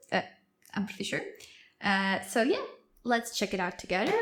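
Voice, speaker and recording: A woman with a non-native accent speaks in a fairly high voice. Her pitch varies in an ordinary way. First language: not English. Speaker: YouTube reactor. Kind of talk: casual reaction commentary. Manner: hesitant, many fillers.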